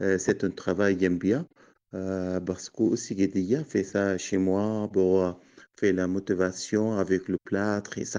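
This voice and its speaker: Speaking with an Arabic accent, a man has a fairly low pitch, a dark, mellow tone, fairly even intonation and a fairly slow pace. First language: Arabic (speaking French). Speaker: potter. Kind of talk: interview. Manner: halting.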